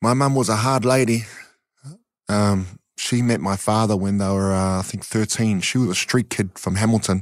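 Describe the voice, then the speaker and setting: At a moderate pace, a man with a New Zealand accent and fairly low pitch speaks with fairly even intonation on a very clean recording with a silent background. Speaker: community charity founder and ex-boxer. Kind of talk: interview.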